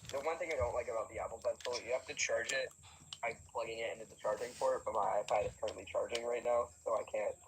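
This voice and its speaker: Background noise is clearly present while a man speaks fairly quickly. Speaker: live streamer. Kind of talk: casual chat. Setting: live stream. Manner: many filler words and pauses.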